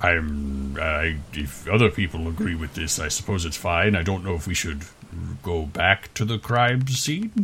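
A man uses a put-on character voice pitched very deep and low. He talks at a moderate pace. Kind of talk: fake character voice. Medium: actual play. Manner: formal, stilted.

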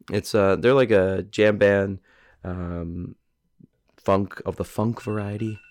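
A man with a fairly low pitch talks at a very slow pace. His intonation is fairly even, with long, frequent pauses. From Ireland. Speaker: singer and guitarist. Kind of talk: casual chat. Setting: studio.

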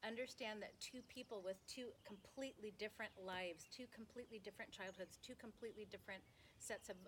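In an ordinary speaking voice, a woman moves fairly quickly, her pitch varying in an ordinary way. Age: 50s. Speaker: singer. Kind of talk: casual chat. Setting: at home.

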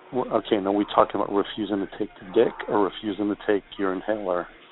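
Over noticeable background noise, the speaker talks at a fairly quick pace with an American accent and monotone, flat intonation. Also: man. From Chicago. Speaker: caller. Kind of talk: phone call chat.

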